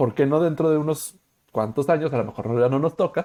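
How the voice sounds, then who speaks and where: A man with a Mexican accent, at a fairly quick pace, with ordinary pitch variation. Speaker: podcast host. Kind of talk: casual chat. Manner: fast.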